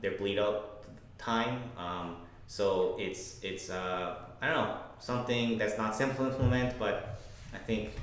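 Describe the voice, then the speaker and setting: Speaking at a fairly slow pace, a man with a medium-pitched voice keeps his intonation fairly even over noticeable background noise and audible room echo. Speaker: game developer. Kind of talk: casual chat.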